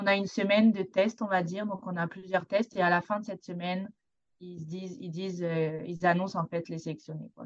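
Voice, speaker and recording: Speaking at a fairly quick pace, a woman with a plain, everyday voice keeps a medium pitch and fairly even intonation while her loudness swings widely. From southern France, Côte d'Azur. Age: 20s. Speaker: university swimmer. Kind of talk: radio interview.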